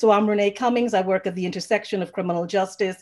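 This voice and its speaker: Fairly even intonation over a quiet background. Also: woman. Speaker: panel moderator. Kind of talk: introductions for a panel. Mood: warm, smiling. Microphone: video call.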